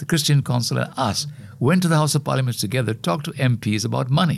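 Very fast speech from a man at medium pitch, with very wide pitch swings and vocal fry. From Sri Lanka. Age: 80s+. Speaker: environmental activist. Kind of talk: interview. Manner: halting, many repeated words.

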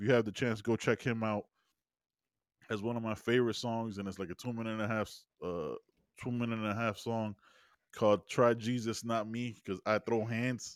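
Long, frequent pauses break up a man's speech at a moderate pace and medium pitch. The recording is very clean, the background silent. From immigrant to the US. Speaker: podcast co-host. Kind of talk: casual chat. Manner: animated.

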